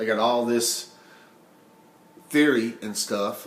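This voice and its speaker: A man mumbling at a medium pitch with fairly even intonation, amid audible room echo. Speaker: vlogger sharing personal experience of obesity. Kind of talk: personal testimony monologue. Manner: emotional; halting, mumbling.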